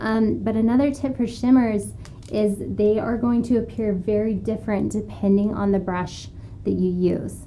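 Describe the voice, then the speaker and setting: A soft-spoken woman at a moderate pace, with audible room echo. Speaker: makeup artist. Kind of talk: tutorial. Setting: live stream studio. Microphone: room orb mic, sound issues.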